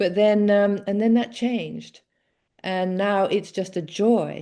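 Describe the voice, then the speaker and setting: A woman speaks with an English accent at a medium pitch, her tone dark and mellow. The background is quiet. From England. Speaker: author and former addiction counselor. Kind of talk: interview conversation. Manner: hesitant, many fillers.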